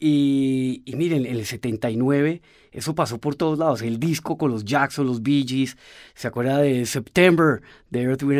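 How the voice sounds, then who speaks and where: A man speaks at a fairly slow pace with a fairly high pitch and ordinary pitch variation. The recording is very clean, with a silent background. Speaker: pianist and composer. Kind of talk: interview. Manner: halting, with repeated words.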